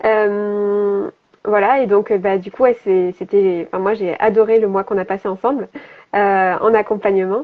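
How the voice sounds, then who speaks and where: This woman's voice sits at medium pitch with fairly even intonation. She speaks at a moderate pace. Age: 30s. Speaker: health and business coach. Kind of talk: interview on live stream. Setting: Instagram live video. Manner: hesitant, many fillers.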